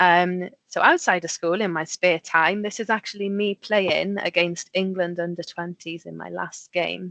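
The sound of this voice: A woman speaks at a moderate pace with few pauses, fairly low in pitch yet fairly bright in tone, with vocal fry. Her intonation is fairly even, and the sound is dry and close with no echo.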